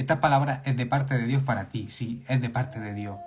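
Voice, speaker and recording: The voice is somewhat breathy and moves at a fairly quick pace, with audible room echo. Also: man. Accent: Spanish. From Spain. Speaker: preacher. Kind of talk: sermon. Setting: live stream. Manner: animated, repetitive emphasis.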